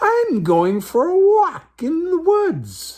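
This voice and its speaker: This is a put-on character voice at an extremely high pitch. It goes at a very slow pace. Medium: read story.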